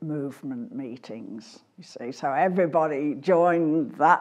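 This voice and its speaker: Against a quiet background, a woman with an English accent speaks at a very slow pace. Her fairly low voice carries lively intonation. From England. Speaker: scholarship donor. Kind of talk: interview.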